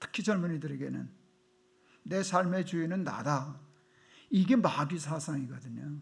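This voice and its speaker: With a North Korean accent, a man speaks at a fairly slow pace in a fairly high pitch, with ordinary pitch variation, long, frequent pauses and audible room echo. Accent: North Korean intonation underlying his speech. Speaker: pastor. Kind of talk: sermon. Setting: church.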